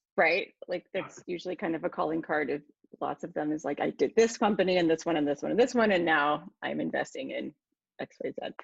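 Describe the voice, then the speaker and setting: A woman talks at a fairly quick pace in a fairly low voice with vocal fry. The sound is dry and close, with no echo. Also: ordinary pitch variation. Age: 40s. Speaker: podcast host. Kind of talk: interview conversation.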